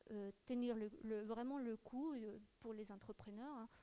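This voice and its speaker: A woman's dark, mellow voice at a fairly high pitch moves along at a fairly slow pace. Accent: Ecuadorian. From Ecuador. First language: Spanish (speaking French). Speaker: audience member, entrepreneur. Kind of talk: audience question. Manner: halting, repetitive.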